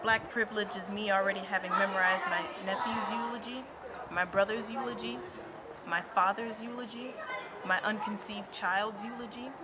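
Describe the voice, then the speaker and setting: Over crowd noise in the background, a woman with an American accent talks at a fairly quick pace in a medium pitch, her tone intense and her intonation lively. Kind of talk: spoken word poetry performance. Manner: intense, rhythmic, emphatic.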